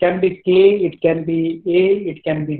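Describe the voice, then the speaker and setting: A man with a high pitch talks fairly slowly in a monotone, flat delivery. The background is quiet, but room echo is audible. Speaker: teacher. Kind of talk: lecture. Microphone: video call.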